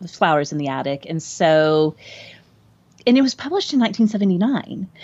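A woman with a normal speaking voice talks at a fairly low pitch with lively intonation. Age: 40s. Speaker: podcast host and former English teacher. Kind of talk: casual chat about a book.

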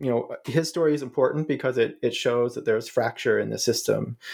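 Speaking with fairly even intonation, a man keeps to a moderate pace. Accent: American. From US Midwest, Ohio. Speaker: professor of international studies. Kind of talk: interview about his book. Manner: hesitant, many filler words.

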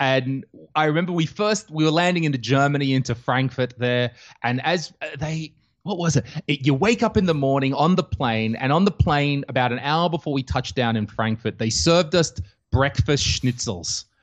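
A man with an Australian accent speaks at a fairly high pitch with lively intonation over a quiet background. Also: moderate pace. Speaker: comedian. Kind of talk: casual chat.

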